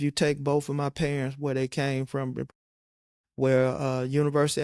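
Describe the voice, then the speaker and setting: Here a man with an American accent talks at a fairly quick pace in a monotone, flat intonation and a fairly high pitch. The sound is dry and close, with no echo. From western Michigan. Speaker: county administrator. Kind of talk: interview.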